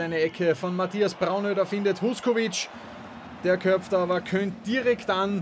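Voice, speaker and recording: A man speaks very slowly in a high pitch, with ordinary pitch variation. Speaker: football commentator. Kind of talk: live sports commentary over match highlights. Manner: fluent, lively, with wordplay and quips.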